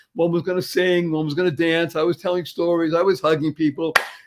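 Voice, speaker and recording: A man talks fairly quickly at a high pitch. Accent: American. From US Northeast, Boston. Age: 70s. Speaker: motivational speaker. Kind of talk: podcast interview. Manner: animated.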